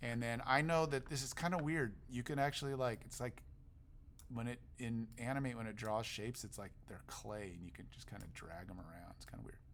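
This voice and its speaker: Amid audible room echo, a man talks at a medium pitch with ordinary pitch variation. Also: fairly quick pace, big swings in loudness. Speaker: teacher. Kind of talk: tutorial. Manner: casual.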